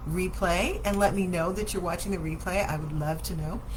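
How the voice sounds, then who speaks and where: The speaker is a woman. Noticeable room echo surrounds her voice. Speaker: daycare owner and show host. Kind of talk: live Q&A show. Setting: Facebook livestream.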